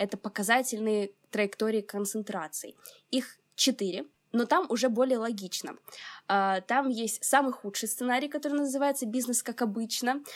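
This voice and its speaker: A woman talks in an unremarkable speaking voice at a moderate pace with fairly even intonation. The recording is very clean, with a silent background. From Ukraine, Odesa. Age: 20s. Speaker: climatology student and climate activist. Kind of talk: interview.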